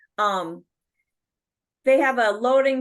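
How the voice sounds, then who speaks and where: Over a quiet background, a woman with an Upper Midwest accent speaks with ordinary pitch variation. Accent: Upper Midwest (Minnesota). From Minnesota, Bayport near Stillwater. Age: 60s. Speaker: rock singer. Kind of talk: interview. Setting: video call.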